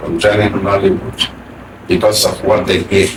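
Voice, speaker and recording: A man speaks at a moderate pace in a fairly low pitch. Noticeable background noise runs underneath. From Abia State, Nigeria. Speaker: actor. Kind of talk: interview answer.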